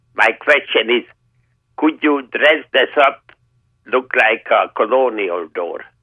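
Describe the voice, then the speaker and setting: A man talks at a very slow pace. Long, frequent pauses break up his speech. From Hungary. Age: 80s+. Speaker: caller. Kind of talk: radio call-in question. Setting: phone call. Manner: polite, formal.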